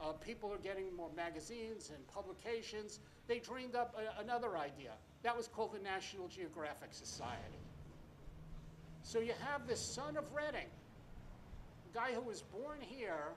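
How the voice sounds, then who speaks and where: Speaking at a moderate pace with lively intonation and long, frequent pauses, the voice carries an audible room echo. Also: man, high pitch for a man. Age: 70s. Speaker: speaker at a marker dedication. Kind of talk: ceremonial speech. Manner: halting with fillers.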